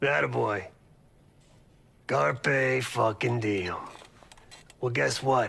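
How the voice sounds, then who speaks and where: A man uses a raspy, put-on character voice at a medium pitch. He talks at a very slow pace with long, frequent pauses. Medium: video game. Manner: blunt, wry, profane.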